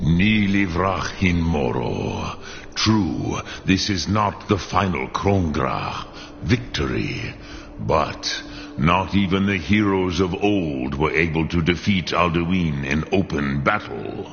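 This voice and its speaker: In a put-on character voice, a man talks at a fairly slow pace with a very deep, low pitch, with clear background noise behind him. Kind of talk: game voice acting. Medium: video game. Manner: slow, measured, archaic.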